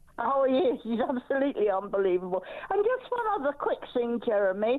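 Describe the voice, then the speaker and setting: Against noticeable background noise, a woman talks at a fairly quick pace in a high pitch, her pitch swinging very widely while her loudness stays very even. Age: 80s+. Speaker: caller. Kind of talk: talk radio phone-in.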